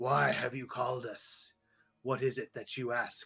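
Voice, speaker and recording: A man's raspy, put-on character voice at a medium pitch and moderate pace. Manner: questioning, curious.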